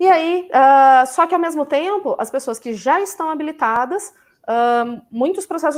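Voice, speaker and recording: The voice has lively intonation and hardly any pauses. The recording is very clean, with a silent background. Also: woman. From Campinas, São Paulo state, Brazil. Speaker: vegan food professional. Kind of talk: live stream conversation.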